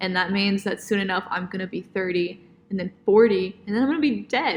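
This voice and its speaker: A woman speaks at a fairly quick pace with an ordinary speaking voice. Her pitch is medium, with ordinary variation. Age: 20s. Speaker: podcast co-host, dance student. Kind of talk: casual chat.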